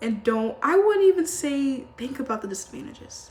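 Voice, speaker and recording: Over noticeable background noise, a woman with a high pitch talks at a moderate pace in an animated tone. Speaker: lifestyle and self-help vlogger. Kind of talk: casual advice monologue to camera. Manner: slurs words; animated, informal.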